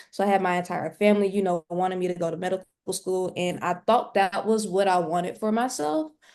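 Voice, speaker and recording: A woman speaks in a Southern US accent at a fairly quick pace. Her medium-pitched voice keeps a fairly even intonation. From US South, Mississippi. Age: 20s. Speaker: nursing student and day trader. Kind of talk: interview.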